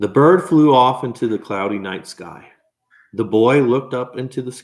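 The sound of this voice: Ordinary pitch variation marks an unforced reading voice heard over a quiet background.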